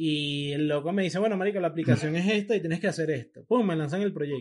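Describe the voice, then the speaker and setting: A man with a Venezuelan accent talks at a fairly quick pace, his fairly high pitch showing ordinary variation. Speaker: podcast co-host. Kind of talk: casual chat.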